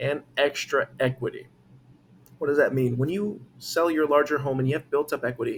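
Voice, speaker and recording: A man's somewhat breathy, fairly high-pitched voice at a moderate pace, with ordinary pitch variation. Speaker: real estate agent. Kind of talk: market update talk to camera. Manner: halting, self-correcting; casual, conversational.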